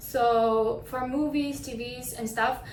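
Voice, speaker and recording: In a room with audible echo and noticeable background noise, a woman talks at a fairly high pitch with fairly even intonation. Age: 20s. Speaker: actress. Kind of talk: self-presentation.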